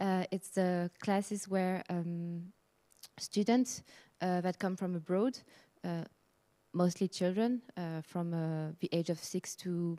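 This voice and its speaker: In a French accent, a woman speaks at a very slow pace and medium pitch with a dark, mellow tone, in a very clean recording with a silent background and a dry, close sound with no echo. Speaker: heritage association project worker. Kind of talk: conference presentation. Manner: halting, many fillers.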